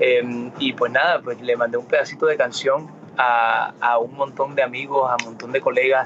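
Noticeable background noise accompanies a man speaking at a medium pitch and moderate pace in a monotone, flat intonation. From Miami, US. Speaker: singer. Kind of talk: interview. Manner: halting, many fillers and repetitions.

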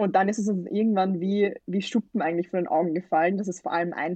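Fairly low in pitch with an unremarkable speaking voice, a woman talks at a fairly quick pace with fairly even intonation. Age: 20s. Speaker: student representative, campaign initiator. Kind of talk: interview.

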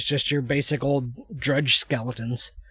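There is noticeable background noise behind this man, whose pitch is fairly high. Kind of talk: casual chat.

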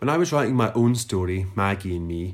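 Someone male speaks at a moderate pace in a Lanarkshire accent. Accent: Scottish (Lanarkshire). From Scotland, Lanarkshire (Newarthill near Motherwell). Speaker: writer and literary podcast host. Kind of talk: reading aloud own essay; casual chat.

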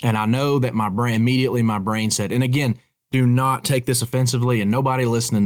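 A man speaks very fast with a Southern Appalachian accent. His pitch sits in the medium range. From Appalachian North Carolina, near Boone. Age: 30s. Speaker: bowhunter. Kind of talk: casual chat.

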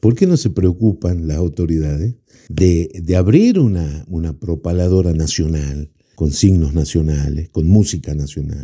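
Using a dark, mellow tone and a very deep, low pitch, a man talks at a fairly slow pace with ordinary pitch variation. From Argentina, Jujuy (Quebrada de Humahuaca). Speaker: folk musician. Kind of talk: interview.

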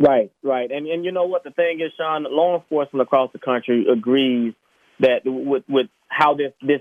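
An ordinary speaking voice with an American accent moves at a fairly quick pace with ordinary pitch variation. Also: man. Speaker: police officer. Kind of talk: radio interview.

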